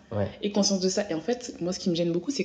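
A woman rushes through her words very quickly, her pitch varying in an ordinary way, with noticeable noise in the background. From France. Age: 20s. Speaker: journalist. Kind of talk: interview.

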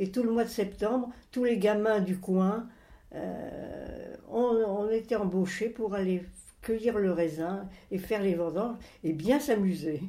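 Very slow speech in a dark, mellow tone. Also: woman. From France, moved around as a child (Alps, Bordeaux area, Rouen). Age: 80s+. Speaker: grandmother telling her life story. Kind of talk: interview, life memories. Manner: halting, with hesitations.

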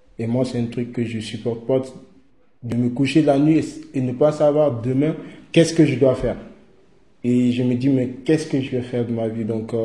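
A man speaks in a dark, mellow, somewhat breathy tone with fairly even intonation. Long, frequent pauses break up his speech amid audible room echo. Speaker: young migrant. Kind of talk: testimony. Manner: halting.

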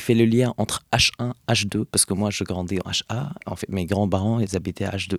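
A man speaks at a fairly slow pace with an Arabic accent, his fairly low voice showing ordinary pitch variation in a dry, close recording with no echo. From Hebron, West Bank, Palestine. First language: Arabic (speaking French). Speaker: Palestinian activist. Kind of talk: interview. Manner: halting, many fillers.

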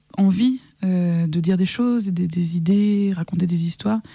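A woman's dark, mellow, somewhat breathy voice with fairly even intonation, in a dry, close sound with no echo. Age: 30s. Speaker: singer-songwriter. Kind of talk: interview conversation.

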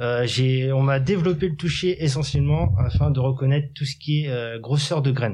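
A man with a medium pitch and a dark, mellow, somewhat breathy tone speaks at a moderate pace with ordinary pitch variation. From Normandy, Cherbourg. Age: 30s. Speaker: horticulture worker at sheltered workshop. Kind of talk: interview.

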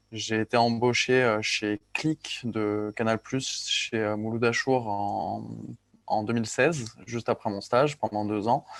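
Recorded dry and close with no echo against a quiet background, a man speaks very slowly at a medium pitch with fairly even intonation. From Corsica. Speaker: editor-in-chief of a news outlet. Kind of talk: casual interview.

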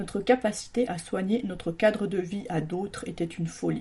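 Dark and mellow in tone, the voice is somewhat breathy and keeps a moderate pace. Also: woman. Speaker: radio columnist. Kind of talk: scripted monologue in the voice of the virus, delivered as an angry rant. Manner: angry, accusatory, indignant, biting sarcasm; forceful, declamatory, hammering rhetorical questions.

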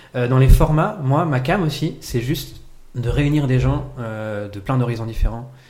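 Fairly slow delivery with ordinary pitch variation and audible room echo. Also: man, medium pitch for a man. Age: 30s. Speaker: improv actor and teacher. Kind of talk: casual chat.

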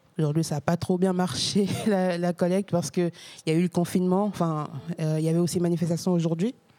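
Fairly low in pitch, a woman talks at a very fast pace with fairly even intonation and very even loudness, in a dry, close sound with no echo and noticeable background noise. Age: 30s. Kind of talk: casual interview. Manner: halting.

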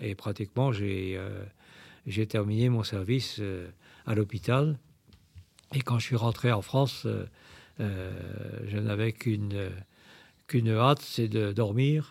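Somewhat breathy, a man speaks at a very slow pace with fairly even intonation and long, frequent pauses. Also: very clean recording, silent background. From Brittany, Saint-Malo. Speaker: priest and war veteran. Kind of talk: testimony. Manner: halting.

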